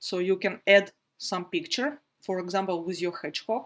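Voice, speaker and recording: A woman speaks at a moderate pace with a non-native accent. Her pitch is medium and her intonation fairly even. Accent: non-native English, noted by self. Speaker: felting teacher. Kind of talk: live online workshop tutorial. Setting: livestream video broadcast. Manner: frequent hesitations (uh, um).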